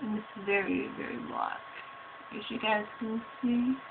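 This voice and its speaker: A woman speaks quietly. There is noticeable noise in the background. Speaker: beauty vlogger. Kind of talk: tutorial.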